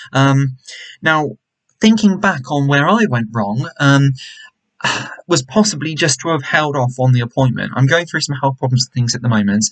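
A man at a moderate pace with lively intonation, against a quiet background. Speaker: vlogger. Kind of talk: casual vlog chat. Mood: disappointed, reflective. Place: home room. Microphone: webcam.

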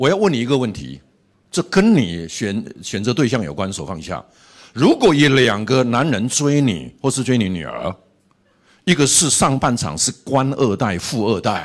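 Against a quiet background, the speaker's voice shows vocal fry and very wide pitch swings at a moderate pace. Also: man. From Taiwan. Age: 60s. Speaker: pastor and seminary professor; pastor, seminary professor. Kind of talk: sermon. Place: hall. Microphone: handheld.

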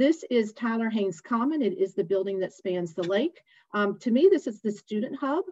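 A woman with a dark, mellow tone speaks at a moderate pace with lively intonation. The sound is dry with no echo, and the background is quiet. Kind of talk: informational presentation. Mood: warm, enthusiastic. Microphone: webcam.

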